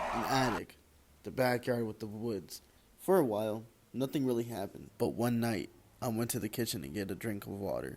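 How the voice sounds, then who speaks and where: There is noticeable background noise behind this man's voice. He speaks at a fairly quick pace with a medium pitch and ordinary pitch variation. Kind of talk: personal storytelling to camera. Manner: casual, slangy.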